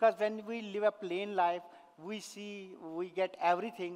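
At a moderate pace, a man speaks in a high voice with ordinary pitch variation. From Kashmir, India. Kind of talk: inspirational talk. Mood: earnest, emotional. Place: stage. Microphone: headset.

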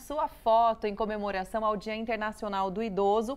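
Speaking with a Brazilian accent, a woman talks at a fairly quick pace. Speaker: TV show co-host. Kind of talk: live TV magazine show. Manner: warm, affectionate. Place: studio. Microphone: lapel.

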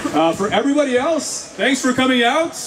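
A man's voice with noticeable background noise. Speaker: rally emcee. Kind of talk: bilingual event announcements. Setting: outdoor rally with audience. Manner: switches between French and English. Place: street.

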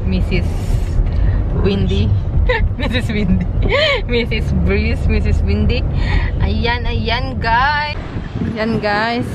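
Loud background noise surrounds a woman's voice. The sound itself is dry, with no echo. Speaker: vlogger. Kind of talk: casual vlog chat. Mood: cheerful, playful.

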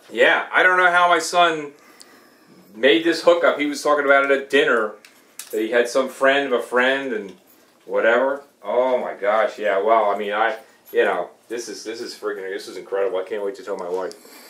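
A man at a moderate pace, big swings in loudness, and audible room echo. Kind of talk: excited phone conversation. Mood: thrilled, amazed. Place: home room. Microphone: camera far.

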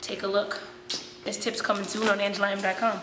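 Noticeable background noise sits under a fairly quick, monotone voice with flat intonation. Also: woman. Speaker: vlog host. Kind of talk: casual vlog chat. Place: gym. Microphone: camera far.

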